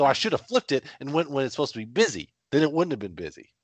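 A man with vocal fry speaks very fast at a fairly high pitch, swinging his pitch very widely in a dry, close sound with no echo. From Kentucky. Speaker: movie podcast co-host. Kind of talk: casual chat.

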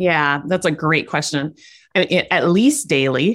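On a very clean recording with a silent background, a woman with an American accent uses a plain, everyday voice at a fairly low pitch, with lively intonation and a moderate pace. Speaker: life coach. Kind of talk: casual interview chat.

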